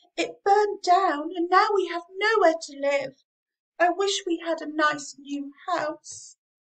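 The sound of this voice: A woman speaks in a put-on character voice, squeaky and extremely high-pitched. Her pace is fairly slow.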